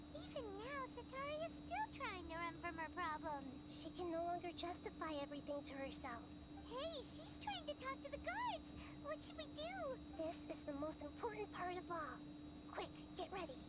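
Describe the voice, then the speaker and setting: A put-on character voice at a moderate pace against loud background noise. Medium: game stream. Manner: fast, excitable.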